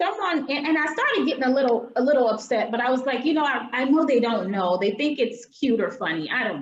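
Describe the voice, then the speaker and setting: A woman with an American accent speaks at a very fast pace, hardly pausing. Her voice is high, with lively intonation. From US South. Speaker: diversity workshop presenter. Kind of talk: online workshop talk. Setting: video call.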